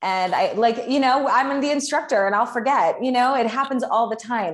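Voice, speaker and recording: A woman with an unremarkable speaking voice talks at a fairly quick pace, her pitch varying in an ordinary way. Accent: American. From US Midwest, Chicago. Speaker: fitness instructor. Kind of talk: casual interview. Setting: home studio, remote interview.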